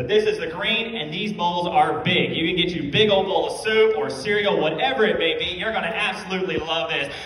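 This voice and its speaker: Speaking at a fairly quick pace with an American accent, a man is heard amid audible room echo and light background noise. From Virginia, US. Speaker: auctioneer. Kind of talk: auctioneer competition bid calling. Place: hall.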